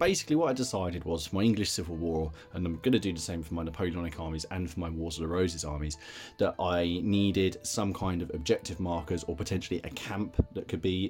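With faint music in the background, a man with a very deep, low pitch talks at a fairly quick pace with ordinary pitch variation. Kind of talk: casual hobby tutorial chat. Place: home room. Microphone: phone near.

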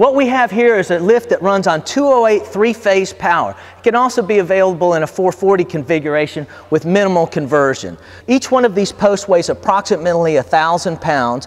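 A man's voice sits at a high pitch while he keeps a moderate pace. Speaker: company product demonstrator. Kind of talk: product demonstration. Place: garage.

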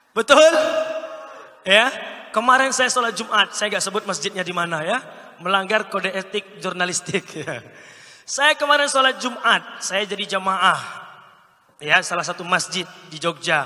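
In a raised, projected voice with an animated tone, the speaker moves at a moderate pace with lively intonation and long, frequent pauses. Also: man, high pitch for a man. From Pekanbaru, Riau (Sumatra); Riau, Indonesia. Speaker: Islamic preacher and public speaking coach; Islamic preacher, public speaking coach. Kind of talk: training workshop lecture. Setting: live audience, indoor venue. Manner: animated, interactive with audience. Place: hall. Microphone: handheld.

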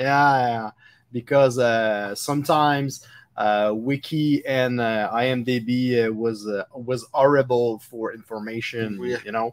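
A man's medium-pitched voice in a French Canadian accent, fairly slow and with fairly even intonation. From Quebec. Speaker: podcast host. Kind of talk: interview. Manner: halting, many fillers. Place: studio.

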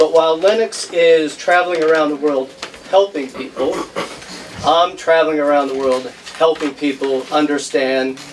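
An unremarkable speaking voice moves at a fairly quick pace with fairly even intonation. Light background noise sits underneath. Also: man. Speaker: criminal justice professor. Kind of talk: slide presentation. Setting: event hall with audience, microphone. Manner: casual, joking. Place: hall.

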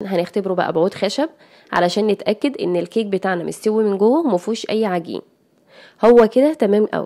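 With an Egyptian accent, a woman speaks at a moderate pace in a medium pitch with a dark, mellow tone. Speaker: cooking youtuber. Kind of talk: tutorial.

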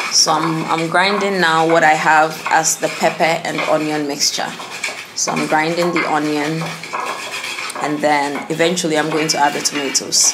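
Against noticeable background noise, a woman with a very deep, low pitch speaks at a moderate pace in a monotone, flat intonation. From Ghana. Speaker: cooking vlogger. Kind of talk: cooking tutorial narration. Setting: outdoors cooking on charcoal fire. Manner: casual, with fillers and restarts. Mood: relaxed, explanatory. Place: home room. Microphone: camera far.

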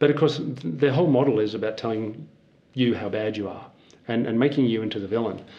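A man with an Australian accent at a fairly quick pace, medium pitch and ordinary pitch variation. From rural Australia, near Melbourne. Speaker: forester and nonprofit founder; interview guest. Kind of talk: interview. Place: office. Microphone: lapel.

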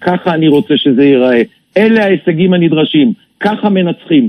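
This man talks at a moderate pace with lively intonation and a high pitch. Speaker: retired army general. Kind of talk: radio interview. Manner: emphatic.

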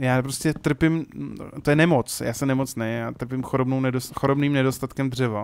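A man with an unremarkable speaking voice talks at a moderate pace and medium pitch over a very clean recording with a silent background. His intonation stays fairly even. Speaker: gaming YouTuber. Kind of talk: let's play commentary. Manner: casual, rambling with self-corrections.

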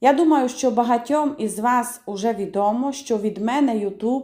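Speaking with a Transcarpathian accent, a woman uses a dark, mellow tone at a fairly high pitch, with ordinary pitch variation and a fairly slow pace. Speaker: home cook. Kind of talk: cooking tutorial. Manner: casual, chatty.

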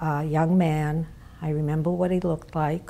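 The tone is dark and mellow. Intonation stays fairly even. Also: woman. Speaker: interviewee. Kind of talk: interview answer. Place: home room. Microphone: lapel.

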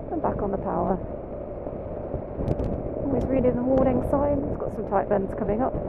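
Long, frequent pauses in a dry, echo-free recording under loud background noise. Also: moderate pace. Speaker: motorcycle instructor. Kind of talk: live riding commentary. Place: motorbike. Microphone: helmet.

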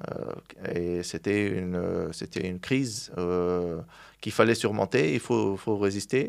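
In a quiet background, a man with a very deep, low pitch talks at a very slow pace with ordinary pitch variation. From Tunisia (Sfax); Tunisia. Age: 30s. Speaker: glass products distributor, entrepreneur; interview guest. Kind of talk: interview. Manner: halting, many hesitations. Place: studio. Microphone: studio mic.

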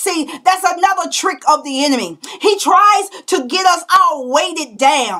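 Her voice raised and projected, a woman speaks at a fairly slow pace with extremely high pitch and lively intonation. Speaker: prophetess leading an online prayer broadcast. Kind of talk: fervent, declarative intercessory prayer, rebuking the enemy. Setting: livestream video broadcast. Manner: impassioned and forceful, stammering repetitions as she builds intensity; punctuates lines with hallelujah, ecstatic call-and-response energy. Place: home room. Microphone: webcam.

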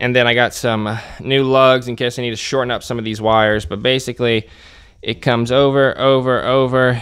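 Against a quiet background, a man talks at a fairly quick pace in a monotone, flat intonation. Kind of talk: tutorial. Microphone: phone near.

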